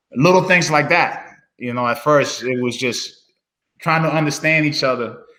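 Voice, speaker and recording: At a moderate pace, a man speaks with a fairly high pitch, ordinary pitch variation and a bright, sharp tone, with audible room echo around him. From Dominican Republic, moved to New Hampshire as a child. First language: Spanish. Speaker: former student athlete. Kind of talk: casual interview chat. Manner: relaxed, many fillers.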